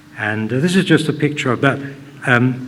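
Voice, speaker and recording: A man of medium pitch speaks with audible room echo and noticeable background noise. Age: 80s+. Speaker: hotelier and local history speaker. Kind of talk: public talk. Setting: hall with live audience. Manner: conversational, halting.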